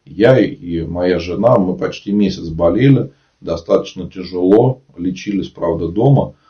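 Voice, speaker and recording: A very deep, low-pitched man, somewhat breathy, at a fairly slow pace with ordinary pitch variation. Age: 30s. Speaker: Orthodox priest. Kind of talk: live-stream talk and Q&A with viewers; reading aloud facts. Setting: online live broadcast.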